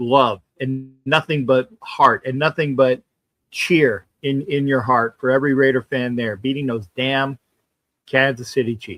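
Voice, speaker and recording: Over music in the background, the speech moves at a fairly slow pace. The intonation stays fairly even. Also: man, medium pitch for a man. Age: 60s. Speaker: football superfan. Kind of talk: casual chat.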